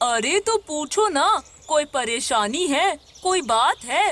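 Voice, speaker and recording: A cartoonish character voice, high in pitch, moves at a fairly slow pace. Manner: calm, sympathetic.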